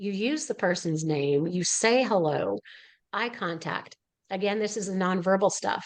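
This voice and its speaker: A woman with an unremarkable speaking voice talks at a medium pitch. Her pace is fairly slow and her intonation lively. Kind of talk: educational webinar talk.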